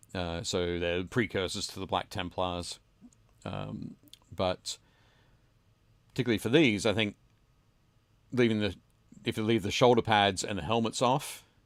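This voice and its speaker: With an Australian accent, a man speaks at a fairly low pitch, pausing long and often. The recording is very clean, with a silent background. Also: ordinary pitch variation, moderate pace. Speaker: podcast host. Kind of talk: casual chat. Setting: home basement, livestream.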